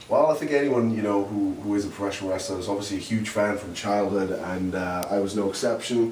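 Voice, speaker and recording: A man with a Welsh accent and a fairly low voice races at a very fast pace with hardly any pauses and ordinary pitch variation. Audible room echo and noticeable background noise surround him. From Wales, Swansea. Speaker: professional wrestler. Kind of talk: interview. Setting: hotel room. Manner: halting.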